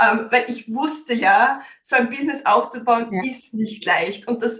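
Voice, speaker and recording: The woman's voice is high. She speaks fairly slowly, with fairly even intonation. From Austria, Styria. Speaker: business consultant and coach. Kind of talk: interview. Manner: many fillers (ähm).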